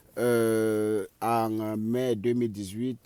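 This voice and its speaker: A man's fairly low-pitched voice, dark and mellow in tone, with a Cameroonian accent. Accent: Cameroonian accent, kept. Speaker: vlogger, immigrant in the US. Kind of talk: vlog monologue. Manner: halting, many filler sounds.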